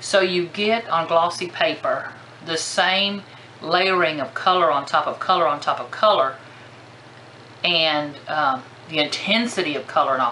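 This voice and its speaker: A woman speaks with ordinary pitch variation, her voice carrying audible room echo amid noticeable background noise. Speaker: crafting vlogger. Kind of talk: casual product haul show-and-tell. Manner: animated.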